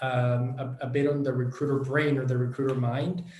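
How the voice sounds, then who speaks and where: Audible room echo surrounds a man with a Spanish accent who speaks at a moderate pace and medium pitch with fairly even intonation. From Venezuela. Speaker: education company director. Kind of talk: online workshop presentation. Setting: online event. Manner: many hesitations and fillers.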